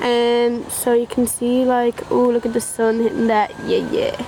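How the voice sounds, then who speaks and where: A woman with an Irish accent uses a raised, projected voice. Noticeable background noise sits behind her. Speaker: YouTuber. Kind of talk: casual car review vlog. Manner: casual, chatty.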